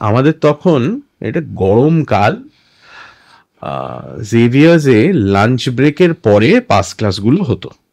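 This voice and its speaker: A man's plain, everyday voice at medium pitch, with lively intonation and a dry, close sound with no echo. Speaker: voiceover artist and former radio jockey. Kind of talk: interview answer.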